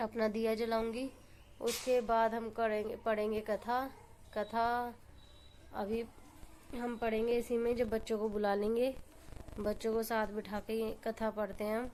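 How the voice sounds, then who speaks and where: With a fairly high pitch, a woman speaks in a monotone, flat intonation with long, frequent pauses. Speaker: family vlogger. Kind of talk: vlog narration. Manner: casual, conversational.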